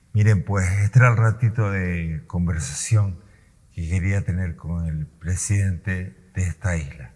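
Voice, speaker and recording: A man's very deep, low, somewhat breathy voice at a fairly slow pace, with ordinary pitch variation. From Canary Islands, Gran Canaria. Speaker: interviewer. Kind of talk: interview. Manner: halting, voice sometimes breaks.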